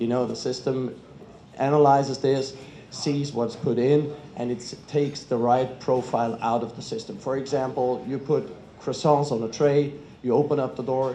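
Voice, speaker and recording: A man with a German accent speaks at a moderate pace. His intonation is fairly even, and the room echo is audible. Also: medium pitch for a man. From Germany. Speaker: kitchen equipment industry representative. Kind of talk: panel talk.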